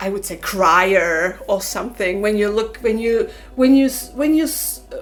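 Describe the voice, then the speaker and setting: Amid noticeable background noise, a woman with a non-native accent speaks at a moderate pace. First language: not English. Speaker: spiritual oracle card reader. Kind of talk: casual chat. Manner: halting.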